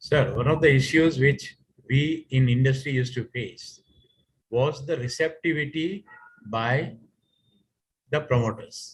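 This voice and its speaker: Somewhat breathy and medium in pitch, a man speaks at a fairly slow pace with long, frequent pauses. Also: ordinary pitch variation. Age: 60s. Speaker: retired finance executive. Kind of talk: audience question. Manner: halting.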